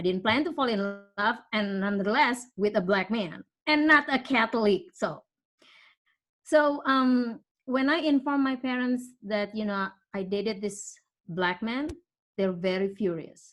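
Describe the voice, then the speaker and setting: Speaking in an Indonesian accent, a woman uses a fairly high pitch and lively intonation at a fairly slow pace. Her long pauses come often, and the background is quiet. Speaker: parishioner sharing her story. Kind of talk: personal testimony. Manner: halting.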